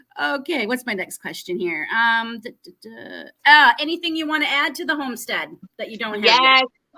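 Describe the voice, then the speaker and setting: With an American accent and a bright, sharp tone, a woman speaks at a moderate pace in a high pitch, her voice making very wide pitch swings and big swings in loudness. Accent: Canadian with a slight American twang. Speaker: homesteading channel host. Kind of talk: casual chat interview. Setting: live stream broadcast.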